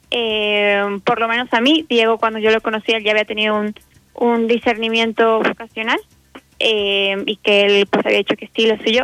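Speaking at a moderate pace, a woman keeps a fairly high pitch in a monotone with flat intonation. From Mexico, Guadalajara. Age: 20s. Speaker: university student. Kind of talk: casual chat. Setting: phone call.

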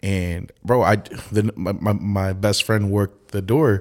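Fairly low in pitch, a man talks at a moderate pace in an ordinary speaking voice. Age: 20s. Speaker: event promoter. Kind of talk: casual chat.

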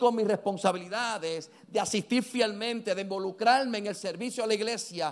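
Speaking at a moderate pace, a man talks in a high pitch. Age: 50s. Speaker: pastor. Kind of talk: sermon. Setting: church.

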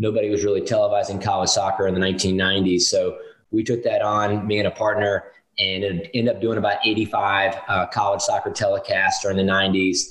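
A man speaks with an American accent at a fairly quick pace. His loudness stays very even. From US South, North Carolina (Winston-Salem). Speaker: professional soccer club president. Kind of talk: interview.

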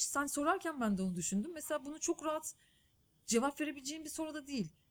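Her intonation is lively. The woman speaks at a high pitch. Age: 30s. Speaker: journalist and documentary filmmaker. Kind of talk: interview conversation.

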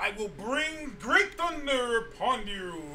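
A put-on character voice, fairly high in pitch and fairly slow in pace, over clear background noise. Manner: powerful, godlike, commanding.

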